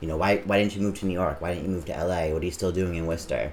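A man with an American accent speaks at a very deep, low pitch. Noticeable background noise and audible room echo are present. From Massachusetts, Auburn. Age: 30s. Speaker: drag performer. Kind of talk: casual interview.

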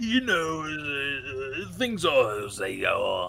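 A put-on character voice against clear background noise. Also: man.

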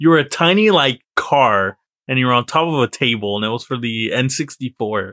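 A man talks in a normal speaking voice at a moderate speed, his intonation lively. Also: medium pitch for a man. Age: 20s. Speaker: podcast co-host. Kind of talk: casual chat.

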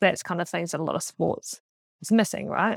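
Recorded very cleanly against a silent background, a woman with a New Zealand accent speaks at a fairly low pitch in a dry, close sound with no echo. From New Zealand, Auckland. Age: 20s. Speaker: track and field athlete. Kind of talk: casual chat.

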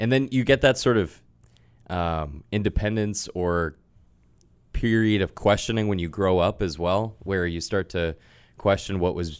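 A plain, everyday voice with an American accent speaks at a moderate pace with fairly even intonation on a very clean recording with a silent background. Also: man. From Massachusetts, near Boston. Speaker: sports play-by-play broadcaster. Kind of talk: interview.

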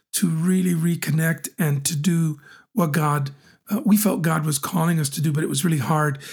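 Speaking in a normal speaking voice, a man keeps a moderate pace with a fairly high pitch and ordinary pitch variation. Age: 40s. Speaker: podcast host, pastor. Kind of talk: casual chat. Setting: guest apartment in New Hampshire.

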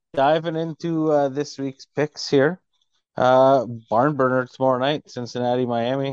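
A man with an ordinary speaking voice talks at a moderate pace and medium pitch with fairly even intonation, in a dry, close sound with no echo against a quiet background. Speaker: football podcast co-host. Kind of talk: casual sports banter. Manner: jokey, casual.

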